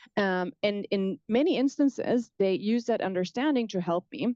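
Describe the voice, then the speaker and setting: A dark, mellow voice in a German accent with ordinary pitch variation, dry and close with no echo, over a quiet background. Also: woman. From southwest Germany. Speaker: professor. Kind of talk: lecture. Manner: fast.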